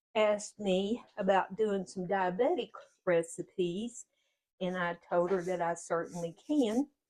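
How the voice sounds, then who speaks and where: Here a woman speaks with a Kentucky accent. Her pitch is medium, and her tone is dark and mellow. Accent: Kentucky Southern US. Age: 70s. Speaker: home cooking video host. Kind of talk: cooking tutorial. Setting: home kitchen.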